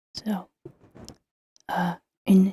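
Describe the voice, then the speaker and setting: Soft-spoken delivery at a very slow pace. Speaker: ASMR creator. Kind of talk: ASMR name reading.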